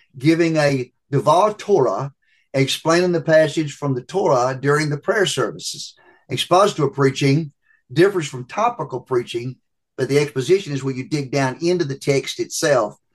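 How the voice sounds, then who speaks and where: A normal speaking voice, its pitch moving in an ordinary way. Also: man. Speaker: preaching professor. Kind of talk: interview answers on preaching.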